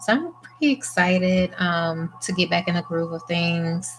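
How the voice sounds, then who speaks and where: A soft-spoken woman at a very slow pace, fairly low in pitch with fairly even intonation, music in the background. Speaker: press-on nail artist. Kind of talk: tutorial.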